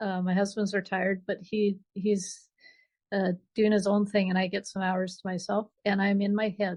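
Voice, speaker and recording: Over a quiet background, a woman with a medium pitch talks at a moderate pace, somewhat breathy and flat, in a monotone. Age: 60s. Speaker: author. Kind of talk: interview. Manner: halting.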